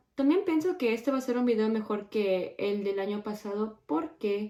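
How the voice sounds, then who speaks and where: At a moderate pace, a woman speaks in a fairly high pitch. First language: English (speaking Spanish). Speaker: beauty YouTuber. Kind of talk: makeup tutorial chat. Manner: casual, self-correcting.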